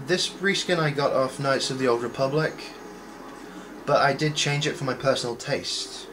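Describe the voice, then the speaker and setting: At a moderate pace, a man speaks with a fairly high pitch and fairly even intonation, leaving long, frequent pauses. There is noticeable background noise. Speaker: gaming video creator. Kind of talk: gameplay commentary.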